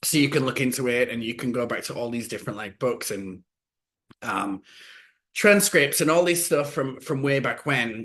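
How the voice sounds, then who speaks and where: Over a quiet background, a man with a Yorkshire accent speaks with lively intonation. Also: medium pitch for a man, moderate pace. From West Yorkshire, England. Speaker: podcast co-host. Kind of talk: casual chat.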